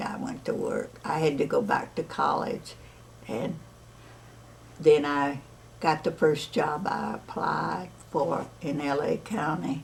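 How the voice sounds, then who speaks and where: The woman talks at a very slow pace, leaving long, frequent pauses. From Alabama. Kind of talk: interview answer.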